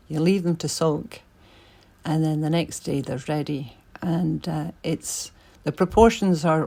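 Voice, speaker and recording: In a Scottish accent, a woman with a very deep, low pitch speaks with fairly even intonation on a very clean recording with a silent background. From Scotland. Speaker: artist. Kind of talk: tutorial. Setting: home art studio. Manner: casual, chatty with hesitations.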